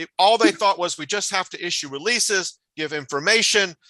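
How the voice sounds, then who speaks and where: A man uses a raised, projected voice with a high pitch, a bright, sharp tone and ordinary pitch variation. The sound is dry and close with no echo, over a quiet background. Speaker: professor, crisis communication scholar. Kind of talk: conference talk. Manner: fast; hesitant, many fillers.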